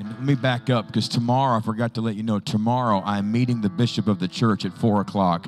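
Fairly even intonation from a man, over faint music in the background. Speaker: pastor. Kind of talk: church announcements. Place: church.

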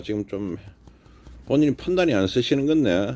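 A man speaks with a Gyeongsang accent and lively intonation. His pace is fairly quick. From Gyeongsang region, South Korea. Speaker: stock market YouTuber. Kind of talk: casual monologue. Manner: animated.

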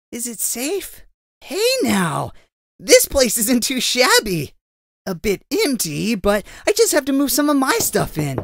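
A man in a put-on character voice, extremely high-pitched, with very wide pitch swings and long, frequent pauses. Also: fairly slow pace. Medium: dub.

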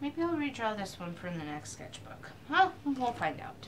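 A woman is talking, and light background noise can be heard. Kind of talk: casual vlog chat.

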